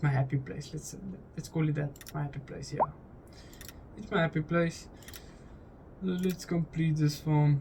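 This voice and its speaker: A man with a non-native accent speaks at a moderate pace with long, frequent pauses, his fairly high, somewhat breathy voice dark and mellow in tone, with fairly even intonation. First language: not English. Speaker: gaming YouTuber. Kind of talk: casual gameplay commentary. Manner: halting, many repetitions and restarts.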